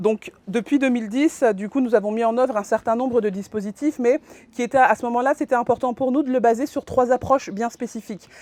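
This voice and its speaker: The sound is dry and close with no echo. A woman with a high pitch and ordinary pitch variation talks at a fairly quick pace. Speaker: social worker presenting at a conference. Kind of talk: conference presentation. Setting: conference room with audience. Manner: halting, many fillers and restarts.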